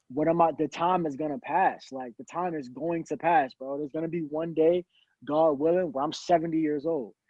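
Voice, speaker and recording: With an American accent, a man talks at a fairly quick pace in a fairly high pitch. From Virginia. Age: 20s. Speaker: rapper. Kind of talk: casual chat. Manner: animated.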